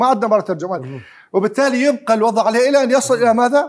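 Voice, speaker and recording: A man talks at a fairly quick pace. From Iraq. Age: 60s. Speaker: historian. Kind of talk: heated debate. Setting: studio. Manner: animated. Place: studio. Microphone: lapel.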